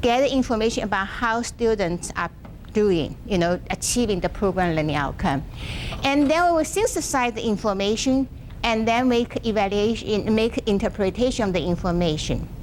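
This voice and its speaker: Noticeable background noise sits behind speech delivered at a moderate pace with very even loudness. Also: woman, fairly high pitch for a woman, lively intonation. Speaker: workshop presenter, education professor. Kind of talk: lecture. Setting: classroom with live audience. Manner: halting.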